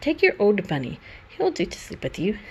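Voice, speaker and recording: A female-sounding put-on character voice rumbles at medium pitch for a woman. The pace is moderate, with clear background noise. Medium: read story. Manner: brisk, grumbling.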